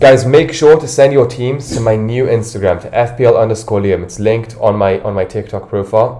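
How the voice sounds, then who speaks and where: Talking at a fairly quick pace, a man with an American accent has a medium pitch and ordinary pitch variation. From London. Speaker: fantasy football streamer. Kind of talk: casual livestream chat.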